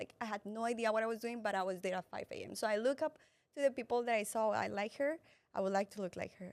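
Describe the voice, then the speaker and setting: In a Colombian accent, a woman with a fairly high pitch speaks at a very fast pace with ordinary pitch variation, the sound dry and close with no echo. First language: Spanish. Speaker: entrepreneur and fitness influencer. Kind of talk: interview testimony. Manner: halting, with false starts.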